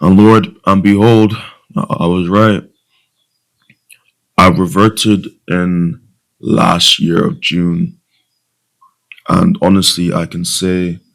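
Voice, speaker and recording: With long, frequent pauses, a man talks at a very slow pace in a very deep, low pitch with ordinary pitch variation. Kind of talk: casual talk to camera.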